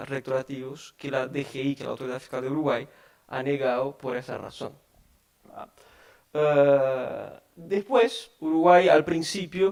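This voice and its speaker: A man with a Portuguese accent talks at a fairly slow pace in a fairly high voice with ordinary pitch variation. His loudness swings widely. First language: Portuguese (speaking Spanish). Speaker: tax advisor. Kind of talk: conference talk. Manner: halting, many fillers.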